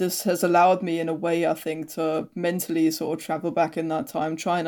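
A woman speaks with a German accent in a fairly low pitch. Her tone is dark and mellow, her intonation fairly even. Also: very clean recording, silent background. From East Germany. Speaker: historian. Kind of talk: interview.

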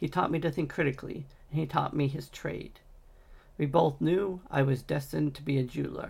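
A man talks at a fairly quick pace with vocal fry. His pitch is fairly high, with ordinary pitch variation. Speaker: audiobook narrator. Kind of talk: reading aloud. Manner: halting.

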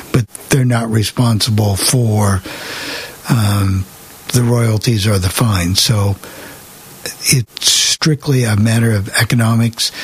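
A man with an American accent at a medium pitch, very slow and full of long, frequent pauses, with fairly even intonation, very even loudness and noticeable background noise. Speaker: radio host. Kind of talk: casual chat. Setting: video call.

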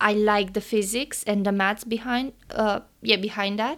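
With a Romanian accent, a woman speaks at a fairly high pitch with fairly even intonation on a very clean recording with a silent background. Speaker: engineering student and podcast co-host. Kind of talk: casual interview chat.

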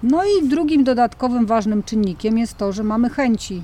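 A woman speaks at a moderate pace and a fairly high pitch. It is an unremarkable speaking voice with ordinary pitch variation. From Mazovia, Poland. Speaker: park volunteer coordinator. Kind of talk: casual interview. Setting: volunteer lodge in the mountains.

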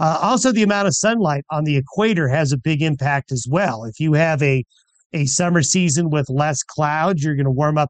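A normal speaking voice from a man, fairly high in pitch, at a moderate pace, dry and close with no echo. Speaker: meteorologist. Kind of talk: radio interview.

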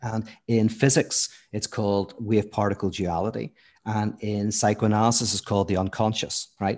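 A man with a Northern Irish accent, fairly low in pitch, at a moderate pace against a quiet background. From Northern Ireland, Belfast. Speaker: philosopher and theologian. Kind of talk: podcast interview. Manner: animated.

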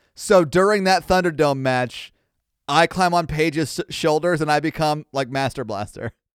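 A man with a normal speaking voice, fairly high in pitch with ordinary pitch variation, in dry, close sound with no echo on a very clean recording with a silent background. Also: moderate pace. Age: 30s. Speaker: podcast host from a sister show. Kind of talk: casual chat.

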